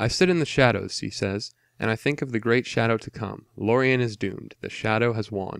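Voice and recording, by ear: Reading aloud in a natural voice, the speaker shows ordinary pitch variation against a quiet background.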